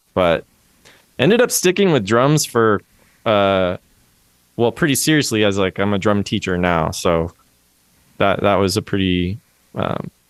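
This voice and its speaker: In an American accent, a man speaks at a fairly slow pace and fairly low pitch, with ordinary pitch variation, very even loudness and long, frequent pauses, in a dry, close sound with no echo. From US Pacific Northwest (Everett, near Seattle). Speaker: music educator and drum teacher. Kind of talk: casual interview chat.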